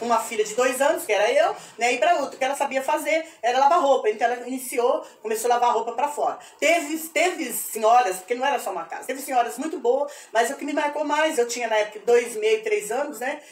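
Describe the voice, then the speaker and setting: The speech runs at a very fast pace with ordinary pitch variation over noticeable background noise. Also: woman, high pitch for a woman. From Brazil, Presidente Prudente region, São Paulo state. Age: 70s. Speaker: retired history teacher. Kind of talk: personal testimony. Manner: halting, with repetitions.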